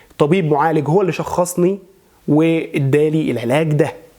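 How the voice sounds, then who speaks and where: Noticeable background noise sits under a man's high pitch and ordinary pitch variation. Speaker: voice and maqam coach; religious chanter. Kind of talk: instructional talk to camera.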